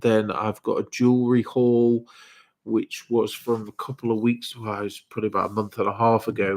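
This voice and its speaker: Monotone, flat intonation from a man with an English accent, medium in pitch and at a fairly quick pace. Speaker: reseller. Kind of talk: live stream.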